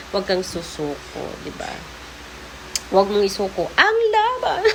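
A woman speaks in an animated tone with very wide pitch swings. Her pace is fairly slow, and there is noticeable background noise. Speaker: vlogger. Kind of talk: motivational vlog monologue.

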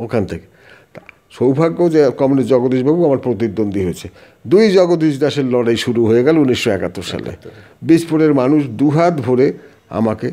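The voice belongs to a man with a medium pitch. His intonation is lively. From West Bengal, North 24 Parganas. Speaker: veteran politician and teacher. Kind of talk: interview. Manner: animated.

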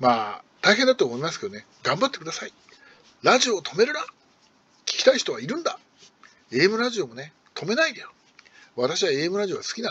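A man with a high-pitched voice talks at a fairly quick pace, leaving long, frequent pauses. His pitch swings very widely and his loudness shifts a lot. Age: old. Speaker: radio hobbyist YouTuber; radio fan commentator. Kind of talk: casual monologue. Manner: hesitant, many fillers. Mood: wistful grumbling, pleading.

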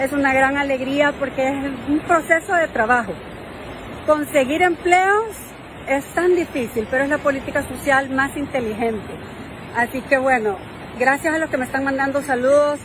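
A woman with a high voice speaks with long, frequent pauses, her sound dry with no echo and crowd noise behind her. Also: ordinary pitch variation, moderate pace. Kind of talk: casual live-stream chat. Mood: happy, upbeat. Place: beach. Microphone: phone near.

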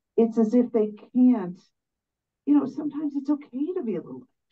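Her voice somewhat breathy, a woman talks fairly quickly. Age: 60s. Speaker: audience member. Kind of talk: audience question. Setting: stage with audience.

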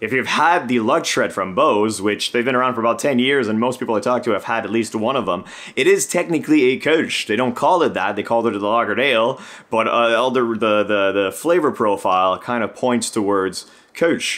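With ordinary pitch variation, a man talks at a fairly quick pace. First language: French. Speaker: beer channel co-host, brewing student. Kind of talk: casual chat. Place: home room.

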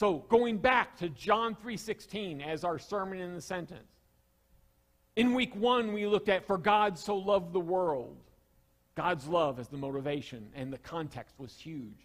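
In a Southern US accent, a high-pitched man speaks fairly slowly with lively intonation against a quiet background. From US South. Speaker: pastor. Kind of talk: sermon. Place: church. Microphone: headset.

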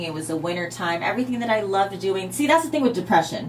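A woman at medium pitch, over light background noise. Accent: American. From US Midwest. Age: 30s. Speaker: motivational radio show host. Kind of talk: casual talk radio chat. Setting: studio. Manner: animated. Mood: earnest, reflective. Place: studio.

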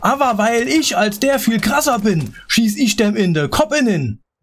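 Moving at a very slow pace, a man speaks with lively intonation. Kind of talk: comic carnival speech in rhyme. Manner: playful, rhythmic rhymed delivery.

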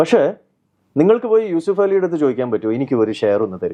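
Dark and mellow in tone, this voice's pitch moves through very wide swings. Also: man. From Kerala, Kochi. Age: young. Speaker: investor and businessman. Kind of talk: interview.

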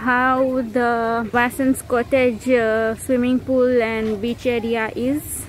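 A woman speaks at a very slow pace in a high voice, the sound dry with no echo and light background noise behind her. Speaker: travel vlogger. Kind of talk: casual vlog chat. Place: garden. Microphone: phone near.

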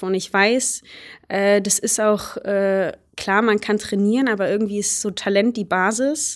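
A woman speaks at a medium pitch and a moderate pace in a monotone, flat delivery. The recording is very clean, with a silent background. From Germany, Baunatal, Hesse. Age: 20s. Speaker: hurdles sprinter. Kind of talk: casual interview.

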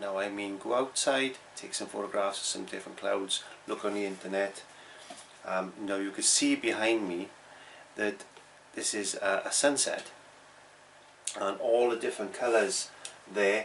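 With long, frequent pauses, a man speaks at a moderate pace in a fairly low pitch and fairly even intonation over light background noise. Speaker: painting teacher. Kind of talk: tutorial. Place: home room. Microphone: phone near.

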